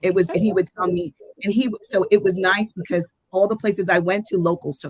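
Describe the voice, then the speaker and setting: Her voice sits at a medium pitch with ordinary variation and a somewhat breathy quality. The woman talks fairly quickly in an animated tone, with big swings in loudness. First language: Spanish. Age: 60s. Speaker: traveler. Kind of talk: casual chat.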